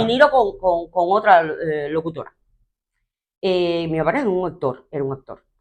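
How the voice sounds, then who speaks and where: A woman with an unremarkable speaking voice, fairly low in pitch, with lively intonation at a moderate pace. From Cuba. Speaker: TV presenter, radio announcer, actress. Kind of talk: interview answer.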